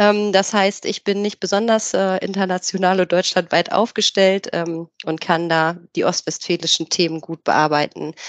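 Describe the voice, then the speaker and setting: A woman speaks in a plain, everyday voice with a medium pitch and fairly even intonation at a moderate pace. The sound is dry and close with no echo, over a quiet background. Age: 30s. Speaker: HR specialist. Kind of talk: casual chat.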